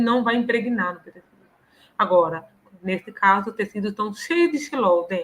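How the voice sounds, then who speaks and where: A woman in a normal speaking voice, moderately paced, with lively intonation. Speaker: professor. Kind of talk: lecture. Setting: live online stream.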